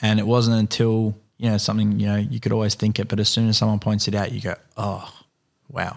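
A man's fairly low-pitched voice, monotone and flat, at a fairly quick pace on a very clean recording with a silent background. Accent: Australian. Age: 20s. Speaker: carpenter and filmmaker. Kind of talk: casual interview. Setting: at guest's home.

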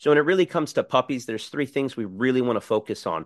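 A man with an American accent talks very fast, his intonation lively. The sound is dry and close with no echo, and the background is quiet. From South Florida (Miami). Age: 40s. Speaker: dog trainer. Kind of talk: casual chat.

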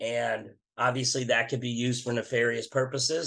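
With a normal speaking voice, a man talks at a moderate pace and a medium pitch. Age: 50s. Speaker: metal band vocalist. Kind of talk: interview.

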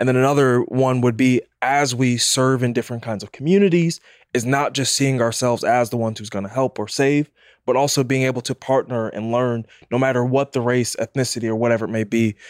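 A man at medium pitch speaks in an unremarkable speaking voice with fairly even intonation, the sound dry and close with no echo in a very clean recording with a silent background. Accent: American. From Jamaican family in the US. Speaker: church guest. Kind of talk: panel discussion.

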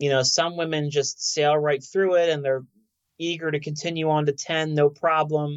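A man with an unremarkable speaking voice, moderate in pace and fairly high for his pitch. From South Philadelphia. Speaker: oncologist. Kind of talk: interview.

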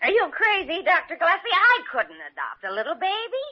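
Putting on a character voice, a woman speaks at a fairly quick pace with an extremely high pitch and very wide pitch swings.

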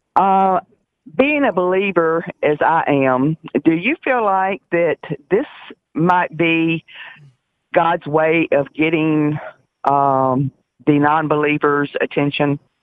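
Speech comes at a very slow pace with long, frequent pauses. The accent is Southern US. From US South. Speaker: caller. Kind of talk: radio call-in. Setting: phone call.

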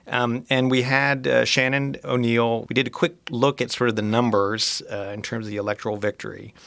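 This man talks at a moderate pace with hardly any pauses, ordinary pitch variation, medium pitch and an unremarkable speaking voice. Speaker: podcast host. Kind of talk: interview.

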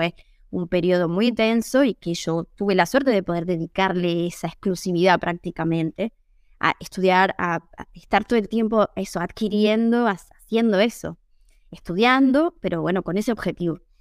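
An ordinary speaking voice moves at a moderate pace with ordinary pitch variation. The very clean recording has a silent background and a dry, close sound with no echo. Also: woman. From Argentina, Tucumán. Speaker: Italian teacher and translator. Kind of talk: interview.

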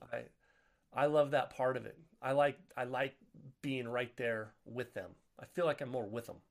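Pausing long and often, a man talks at a moderate pace in a medium pitch. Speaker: author and podcast host. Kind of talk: casual interview chat. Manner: animated, joking.

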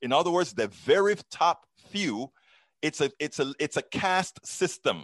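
Recorded with a dry, close sound with no echo and a quiet background, a man speaks fairly slowly at a fairly high pitch with vocal fry and lively intonation. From Panama. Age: 50s. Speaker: political podcast host. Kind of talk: interview.

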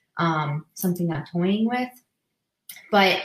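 With an American accent and a fairly low pitch, a woman talks in an ordinary speaking voice with ordinary pitch variation. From Massachusetts, New England. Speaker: physical therapist and practice owner. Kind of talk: casual interview on a live stream.

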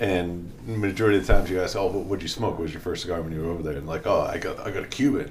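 A man with a very deep, low pitch and an American accent, talking at a very fast pace with hardly any pauses and ordinary pitch variation, over noticeable background noise. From Boston, US. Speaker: veteran and cigar company co-owner. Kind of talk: casual interview chat. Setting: studio.

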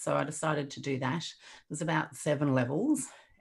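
In an Australian accent, a woman with a very deep, low pitch speaks at a moderate pace with fairly even intonation on a very clean recording with a silent background. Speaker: resilience coach. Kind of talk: casual chat.

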